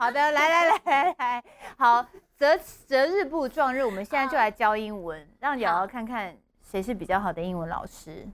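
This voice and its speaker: A woman with a high-pitched voice speaks at a moderate pace, her pitch swinging very widely and her loudness rising and falling sharply. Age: 40s. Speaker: talk show co-host. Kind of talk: casual chat. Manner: animated, code-switching into English.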